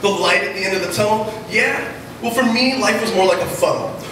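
A man at a moderate pace with ordinary pitch variation, audible room echo and noticeable background noise. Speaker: slam poet. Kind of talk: slam poetry performance, rhythmic rhymed spoken word to a live audience. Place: stage.

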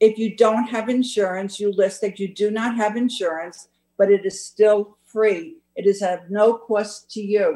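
With fairly even intonation and a dark, mellow tone, a woman talks at a fairly slow pace against a quiet background. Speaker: council meeting official. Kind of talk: meeting report. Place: home room. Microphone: video call.

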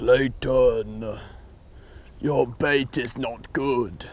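Clear background noise accompanies a put-on character voice. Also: man, medium pitch for a man. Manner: pompous, scolding.

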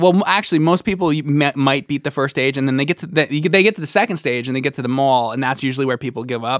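A man with an American accent speaks at a very fast pace in a fairly high pitch with ordinary pitch variation, the sound dry with no echo. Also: hardly any pauses, quiet background. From New Jersey. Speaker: video game podcast co-host. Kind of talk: casual chat. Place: studio. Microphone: studio mic.

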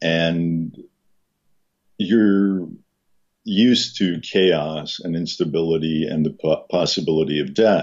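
Very slowly and with fairly even intonation, a man speaks at a very deep, low pitch against a quiet background. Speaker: podcast guest. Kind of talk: casual conversation. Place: home room. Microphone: video call.

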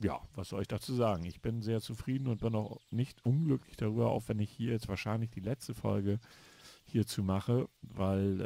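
The man's voice has a dark, mellow tone. He talks at a moderate pace and a fairly low pitch. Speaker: gaming YouTuber. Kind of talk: let's play commentary. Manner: halting.

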